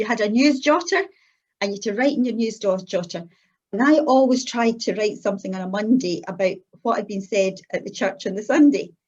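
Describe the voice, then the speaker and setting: A somewhat breathy woman with a Scottish accent, fairly high in pitch, lively in intonation, at a fairly quick pace. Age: 60s. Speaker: church member giving her testimony. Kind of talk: testimony.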